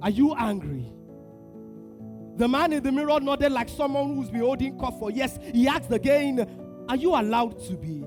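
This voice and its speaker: A man talks at a moderate speed while music plays in the background. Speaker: spoken word poet performing at a men's conference. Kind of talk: spoken word poetry performance to a live audience. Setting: live conference stage with audience. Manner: intense, dramatic, with pauses, building to declarations.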